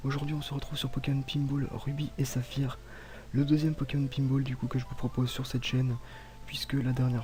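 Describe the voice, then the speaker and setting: A soft-spoken man, somewhat breathy, with a dark, mellow tone, monotone, flat intonation and a fairly quick pace. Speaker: gaming YouTuber. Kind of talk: gameplay commentary. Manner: calm.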